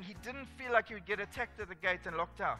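Over faint music in the background, a man speaks in a raised, projected voice at a fairly quick pace with ordinary pitch variation. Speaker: pastor or speaker. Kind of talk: sermon. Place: stage.

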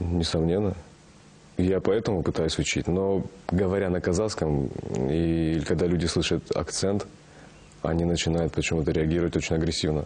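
Long, frequent pauses mark a man's speech. His very deep, low pitch holds fairly even intonation. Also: moderate pace, very even loudness. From Kazakhstan. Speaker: actor. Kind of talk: interview. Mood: relaxed, reflective. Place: studio. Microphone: lapel.

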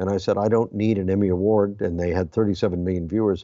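A man with an American accent talks at a fairly quick pace in a very deep, low pitch with fairly even intonation. The background is quiet and the sound dry with no echo. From US West Coast, Hollywood; California. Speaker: film critic and publisher; guest, film review founder. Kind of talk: interview. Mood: calm, anecdotal. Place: office. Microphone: webcam.

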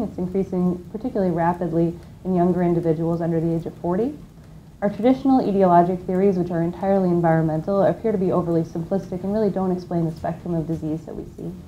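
A woman speaks at a very fast pace in a dark, mellow tone. Light background noise is present. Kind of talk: lecture. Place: classroom.

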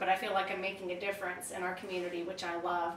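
Audible room echo and light background noise surround this woman's voice. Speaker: freelance writer. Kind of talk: interview. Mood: friendly, relaxed, upbeat. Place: home room.

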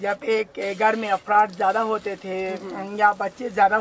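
Speaking at a very slow pace over light background noise, a woman keeps her intonation fairly even. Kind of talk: interview answer while cooking. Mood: friendly, proud. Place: kitchen. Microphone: camera far.

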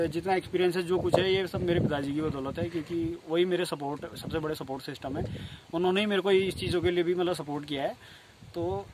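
A man with a high voice talks at a fairly quick pace, his intonation fairly even. The sound is dry with no echo, though noticeable background noise is present. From Uttarakhand. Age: 20s. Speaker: dairy farmer. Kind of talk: interview. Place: farm machine.

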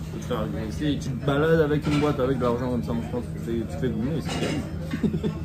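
A man at medium pitch races along at a very fast pace with hardly any pauses and very wide pitch swings, amid audible room echo and noticeable background noise. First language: Korean (speaking French). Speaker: livestream guest. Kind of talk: casual chat.

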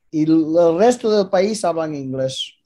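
A man speaks at a fairly slow pace with ordinary pitch variation. His tone is dark and mellow, and the background is quiet. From Canada (Vancouver area), born in Galicia. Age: 50s. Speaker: former boxing world champion. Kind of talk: casual interview chat. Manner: halting, repetitive. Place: home room. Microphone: video call.

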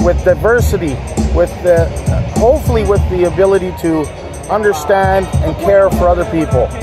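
A man talking at a moderate pace over clear music in the background. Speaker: vlogger. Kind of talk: casual vlog chat. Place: open country. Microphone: phone near.

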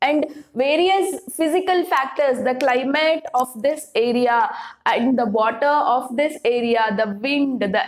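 A woman speaks at a fairly slow pace in a high voice. Her pitch rises and falls in an ordinary way. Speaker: teacher. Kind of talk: lecture. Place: classroom.

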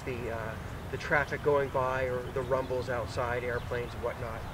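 Noticeable background noise behind a man's dry voice, with no echo. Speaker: video gear reviewer. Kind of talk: tutorial. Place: open country.

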